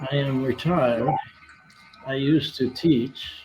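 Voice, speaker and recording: Noticeable background noise runs through the clip. The speaker, a man, has an American accent. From Colorado, US (Denver). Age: 80s+. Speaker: retired teacher. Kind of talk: interview answers. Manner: halting, with many fillers.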